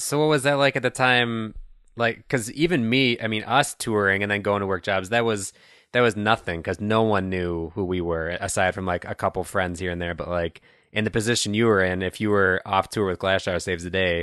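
A man's fairly low voice, bright and sharp in tone, at a fairly quick pace over a quiet background. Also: ordinary pitch variation. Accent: Midwestern US. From Chicago suburbs, US Midwest. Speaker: podcast host. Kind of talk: casual interview conversation. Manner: casual, friendly.

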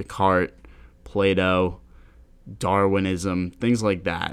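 A man speaks with an American accent at a fairly slow pace. His pitch is very deep and low, and the recording is very clean with a silent background. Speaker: podcast host. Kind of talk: casual chat. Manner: casual, joking.

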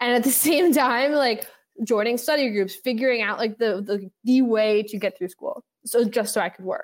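A woman with an American accent and an unremarkable speaking voice, fairly high in pitch, at a moderate pace, with ordinary pitch variation. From New York City, West Village. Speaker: venture capital fund founder. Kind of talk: interview.

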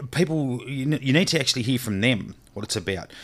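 A man with an Australian accent, medium pitch and ordinary pitch variation. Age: 40s. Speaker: charity founder, former police officer. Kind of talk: casual interview chat. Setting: remote call.

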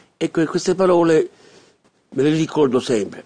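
At a moderate pace, a man is talking. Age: 50s. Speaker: radio host. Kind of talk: radio monologue. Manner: halting.

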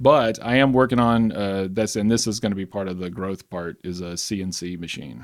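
With a Southern US accent, a man talks at a moderate pace with hardly any pauses, his fairly low voice showing ordinary pitch variation and big swings in loudness. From Alabama. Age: 40s. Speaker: skateboard maker. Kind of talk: casual chat.

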